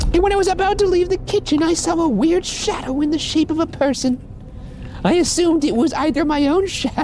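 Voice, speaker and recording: Extremely high-pitched put-on character voice, very fast, with clear background noise. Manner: storytelling in character voice.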